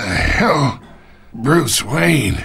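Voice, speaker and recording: Raspy and pitched in the medium range, this man's voice is a put-on character voice. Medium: cartoon. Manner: smug, insinuating.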